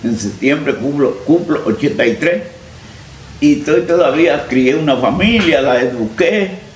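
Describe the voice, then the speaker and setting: Through noticeable background noise and audible room echo, a man with a fairly high pitch speaks at a fairly slow pace with lively intonation and very even loudness. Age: 80s+. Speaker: farmer and former local politician. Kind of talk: interview, personal life story.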